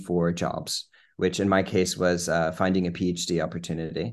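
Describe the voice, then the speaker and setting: A man's very deep, low voice with an American accent and fairly even intonation, over a quiet background. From Virginia, Lynchburg. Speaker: cancer researcher. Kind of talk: interview.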